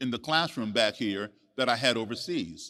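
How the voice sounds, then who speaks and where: In a very clean recording with a silent background, a man with an American accent speaks at a moderate pace in a bright, sharp tone. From USA, raised partly abroad as embassy child. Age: 60s. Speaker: musician and author. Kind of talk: storytelling on stage.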